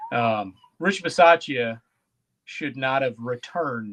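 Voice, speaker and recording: A man's lively intonation comes through with a quiet background behind him. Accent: Wisconsin. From Wisconsin. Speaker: sports podcast co-host. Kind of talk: casual chat. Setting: live-streamed podcast.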